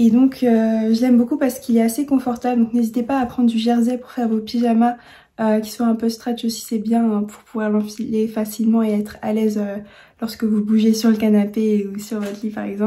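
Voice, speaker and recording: At a fairly quick pace, a woman with a fairly high pitch speaks in a somewhat breathy, dark and mellow tone, her intonation monotone and flat. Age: 20s. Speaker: sewing youtuber. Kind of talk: tutorial. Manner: hesitant, many fillers and repeats.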